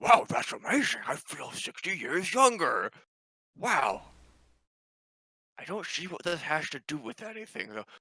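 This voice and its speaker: A man does a put-on character voice with high pitch, very wide pitch swings and big swings in loudness. He keeps a moderate pace with long, frequent pauses. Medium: actual play. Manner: broken halting English, dropped articles.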